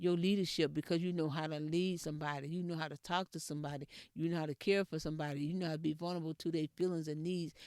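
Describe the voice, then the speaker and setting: Someone with a Texas accent talks at a very fast pace on a very clean recording with a silent background. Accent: country Texas speech. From Texas, rural area near Edna. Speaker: podcast host. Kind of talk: motivational talk. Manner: repetitive, emphatic.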